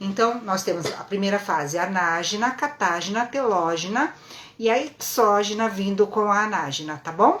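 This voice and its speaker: At a moderate pace, a woman with a medium pitch and ordinary pitch variation talks in an unremarkable speaking voice. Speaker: lash and brow technician teaching online. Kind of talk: live-stream lecture. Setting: live stream.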